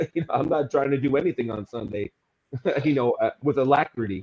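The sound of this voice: A man speaks at medium pitch with a slightly mellow tone.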